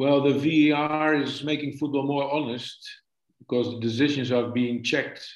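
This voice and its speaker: A man's fairly high voice with a Dutch accent, monotone, flat intonation and a moderate pace. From Netherlands. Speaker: football coach. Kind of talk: casual interview. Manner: halting, hesitant.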